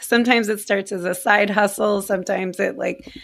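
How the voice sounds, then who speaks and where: A woman speaks at a moderate pace in a medium pitch, her intonation monotone and flat, with noticeable background noise. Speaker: podcast co-host. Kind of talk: casual chat.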